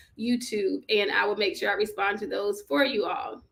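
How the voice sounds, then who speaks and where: A woman speaks in a bright, sharp tone. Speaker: journaling livestream host. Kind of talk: live-streamed guided journaling session. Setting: livestream on social media. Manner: casual, conversational.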